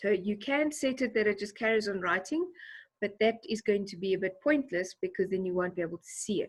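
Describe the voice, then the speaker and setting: A woman speaks at a fairly quick pace with a medium pitch. Her intonation is lively and her voice somewhat breathy. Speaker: teacher. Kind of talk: tutorial.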